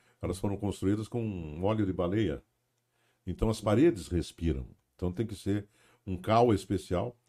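A man with a fairly low, dark, mellow voice speaks with long, frequent pauses. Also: ordinary pitch variation, moderate pace. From Paranaguá, Paraná, southern Brazil. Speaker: radio broadcaster. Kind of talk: casual chat.

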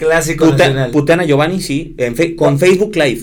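With a Mexican accent, a man speaks at a moderate pace in a high pitch, with audible room echo around him. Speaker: sports broadcaster. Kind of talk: casual chat.

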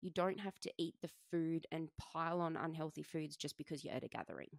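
A woman's fairly low voice with an Australian accent, dry and close with no echo. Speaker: personal trainer and fitness coach podcast host. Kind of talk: solo podcast monologue. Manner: casual, chatty.

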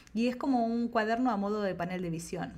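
A woman talks in a plain, everyday voice. Her pace is moderate and her pitch variation ordinary. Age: 40s. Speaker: creativity coach and ceramicist. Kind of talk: casual interview chat.

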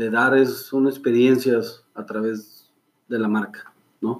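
A man speaks at a very slow pace. His pitch is medium and his intonation fairly even. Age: 40s. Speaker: clothing brand founder. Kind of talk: interview. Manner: halting.

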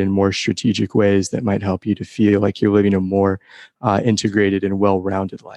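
Here a man talks in a normal speaking voice, fairly low and at a fairly quick pace. The background stays quiet. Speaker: podcast host. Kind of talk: scripted intro with interview questions.

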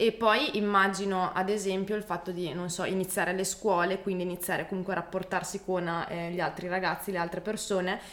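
A woman's medium-pitched, monotone, flat delivery at a fairly quick pace, with noticeable background noise. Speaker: podcast host. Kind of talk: casual interview chat.

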